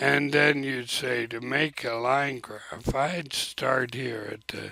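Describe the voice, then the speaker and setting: A man speaks at a very slow pace with fairly even intonation. The sound is dry, with no echo. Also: medium pitch for a man. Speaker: teacher. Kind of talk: screen-recorded software tutorial. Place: home room. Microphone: webcam.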